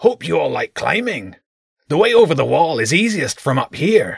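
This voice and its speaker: A man speaks at a moderate pace in a put-on character voice pitched high. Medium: read story. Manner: blunt, gruff.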